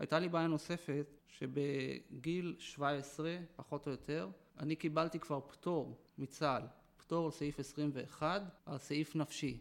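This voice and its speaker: A man's fairly high voice moves fairly slowly, its intonation fairly even. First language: Yiddish (speaking Hebrew). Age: 40s. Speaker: former ultra-Orthodox man turned army veteran. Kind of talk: interview testimony. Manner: halting, with repetitions.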